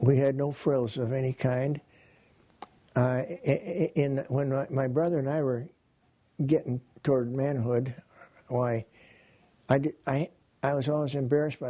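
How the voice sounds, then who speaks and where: A man with an Upper Midwest accent talks in a dark, mellow tone with fairly even intonation. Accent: Upper Midwest American. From Wisconsin. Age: 80s+. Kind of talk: interview answer.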